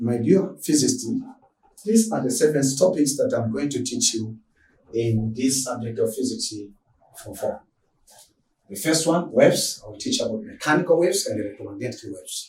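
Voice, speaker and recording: A man talks with big swings in loudness and long, frequent pauses. Room echo is audible. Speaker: physics teacher. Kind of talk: lecture. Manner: fast; halting.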